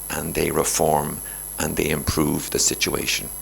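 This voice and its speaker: A man with an Irish accent, with noticeable background noise and audible room echo. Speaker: Jesuit priest, guest speaker. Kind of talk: lecture. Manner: animated.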